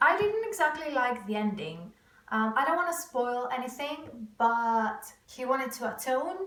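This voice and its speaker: A woman's high-pitched voice in a Greek accent, with lively intonation and audible room echo. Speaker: booktuber vlogger. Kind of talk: casual vlog to camera.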